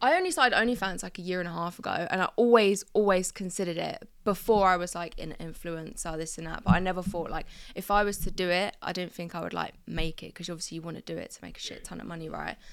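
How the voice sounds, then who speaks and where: A woman with a southeast English accent talks very fast at a medium pitch, with hardly any pauses and fairly even intonation. Her loudness swings widely, and the recording is very clean with a silent background. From southeast England, Crawley. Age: 20s. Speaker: boxer and content creator. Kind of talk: casual chat. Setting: studio.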